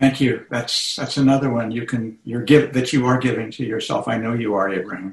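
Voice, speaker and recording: This man has a plain, everyday voice at medium pitch with fairly even intonation. He talks at a fairly quick pace with hardly any pauses. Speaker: meditation teacher. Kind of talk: guided meditation. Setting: video call.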